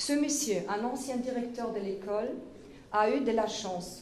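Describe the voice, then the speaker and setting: In a German accent, a woman speaks at a fairly slow pace with fairly even intonation, audible room echo and noticeable background noise. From Germany, Munich, Bavaria. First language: German (speaking French). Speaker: political activist. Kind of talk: political speech. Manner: halting; formal.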